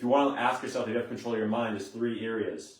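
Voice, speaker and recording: There is audible room echo as a man talks at a very fast pace, medium in pitch with fairly even intonation. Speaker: motivational coach. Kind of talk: live stream talk. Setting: handheld camera live stream.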